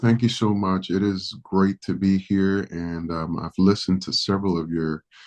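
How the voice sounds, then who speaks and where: A man's very deep, low voice at a moderate pace over a quiet background. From Dominican Republic, raised in New York City. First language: Spanish. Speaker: pastor. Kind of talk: podcast interview.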